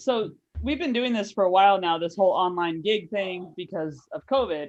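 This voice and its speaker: A woman with an unremarkable speaking voice speaks at a medium pitch with an American accent. Her intonation is lively. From United States. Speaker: comedian. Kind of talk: stand-up. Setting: video call.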